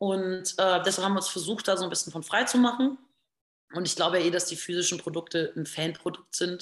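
Talking fairly quickly at a medium pitch, a woman has an unremarkable speaking voice with ordinary pitch variation. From rural Lower Saxony, northern Germany. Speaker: singer and musician. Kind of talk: interview.

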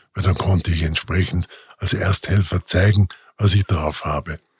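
The sound is dry and close, with no echo. A man speaks somewhat breathily at a moderate pace. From Austria, Vorarlberg (Montafon). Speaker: emergency doctor, podcast host. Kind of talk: personal storytelling monologue. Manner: casual, with filler hesitations.

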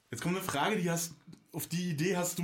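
A man talking at a very fast pace in an animated tone, with noticeable background noise and audible room echo. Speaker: podcast host. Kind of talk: casual chat.

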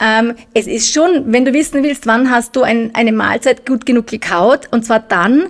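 Against noticeable background noise, a woman with a high pitch talks at a moderate pace with ordinary pitch variation. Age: middle-aged. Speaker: nutrition expert. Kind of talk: casual chat.

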